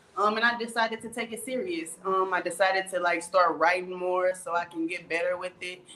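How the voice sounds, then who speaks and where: A woman speaks at a fairly quick pace in a medium pitch with ordinary pitch variation, and noticeable background noise sits behind her. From US Midwest, St. Louis, Missouri. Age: 20s. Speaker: rapper. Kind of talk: interview.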